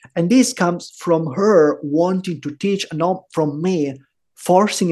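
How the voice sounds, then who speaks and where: A man with an Italian accent speaks very slowly in a high voice, his pitch rising and falling in an ordinary way. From Italy, Rome. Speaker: bitcoin podcaster and entrepreneur. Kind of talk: interview conversation.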